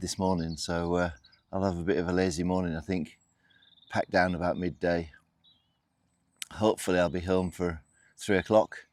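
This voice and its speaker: Pausing long and often, a man with a very deep, low pitch speaks in monotone, flat intonation with a British accent. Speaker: outdoor camping vlogger. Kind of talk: casual vlog to camera.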